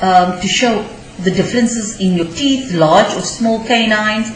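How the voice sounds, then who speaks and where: A woman at a medium pitch and moderate pace, with audible room echo and noticeable background noise. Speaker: teacher. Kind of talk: lecture. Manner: halting, many fillers.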